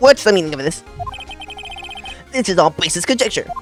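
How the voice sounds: A raspy, put-on character voice at middle pitch rattles off lines at a very fast pace over clear background noise.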